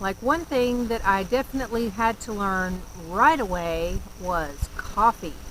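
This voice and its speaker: A woman talks at a fairly slow pace in an American accent. Her pitch varies in an ordinary way. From US South, North Carolina. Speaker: vlogger. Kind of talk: casual vlog talk. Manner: animated, lots of inflection.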